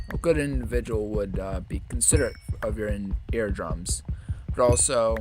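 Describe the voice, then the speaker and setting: A quiet voice with music in the background. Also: man, moderate pace. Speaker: gaming streamer. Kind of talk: live gameplay commentary.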